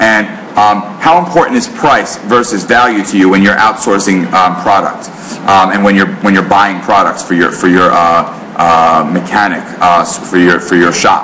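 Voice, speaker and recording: With a New York accent and a fairly low pitch, a man speaks with ordinary pitch variation and very even loudness amid audible room echo and noticeable background noise. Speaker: marketing author and speaker. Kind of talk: business presentation. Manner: fast.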